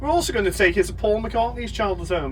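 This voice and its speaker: A man with a Liverpool accent is heard with audible room echo and noticeable background noise. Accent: Liverpool (Scouse). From Liverpool, England. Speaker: tour guide. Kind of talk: guided tour commentary. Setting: on a tour bus with passengers. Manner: animated, crowd-engaging.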